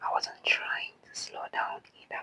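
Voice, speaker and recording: A woman whispering in a calm tone at a very slow pace, dry and close with no echo. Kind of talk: whispered ASMR bedtime story. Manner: whispered, soft; slow, calm.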